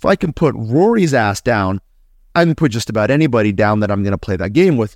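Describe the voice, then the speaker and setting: In an ordinary speaking voice, a man at medium pitch talks fairly quickly with lively intonation, the sound dry and close with no echo on a very clean recording with a silent background. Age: 40s. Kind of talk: casual chat.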